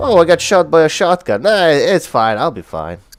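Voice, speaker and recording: A man's pitch swings very widely as he talks. Music sits in the background. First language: not English. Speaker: gaming streamer. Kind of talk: casual live stream commentary. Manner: casual, filler-heavy.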